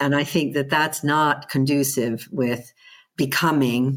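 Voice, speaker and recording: On a very clean recording with a silent background, a woman with an American accent and a very deep, low pitch talks at a fairly slow pace. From US. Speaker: head of management institute. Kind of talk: interview.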